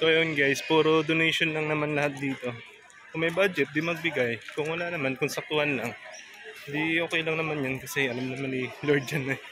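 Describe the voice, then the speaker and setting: A man speaks at a fairly quick pace with a fairly high pitch. His intonation is fairly even, and background noise is noticeable. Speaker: moto vlogger. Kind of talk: travel vlog narration. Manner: speaking quietly.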